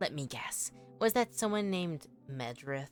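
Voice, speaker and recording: A put-on character voice at a low-to-middle pitch moves at a moderate pace while faint music plays in the background. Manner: suspicious, interrogating.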